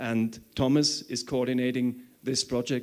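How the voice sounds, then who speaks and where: A man talks in a plain, everyday voice. His pitch sits at a medium level. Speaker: conference organizer. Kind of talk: conference talk.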